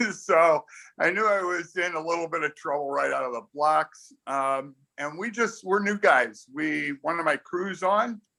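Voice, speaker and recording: A man's high-pitched voice with an American accent, bright and sharp in tone, with ordinary pitch variation and a fairly slow pace. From US Midwest, Chicago. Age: 60s. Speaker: sailor. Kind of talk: casual chat. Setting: video call.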